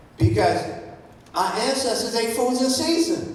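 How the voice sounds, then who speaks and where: A man with a high pitch speaks at a fairly slow pace. Audible room echo and noticeable background noise come through. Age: 70s. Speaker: health practitioner. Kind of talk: talk to an audience. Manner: animated.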